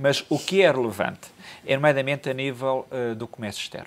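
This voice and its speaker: The man speaks very fast. His pitch varies in an ordinary way. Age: 50s. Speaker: economic commentator. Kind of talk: TV panel discussion. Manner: halting, with frequent repetitions. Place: studio. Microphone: lapel.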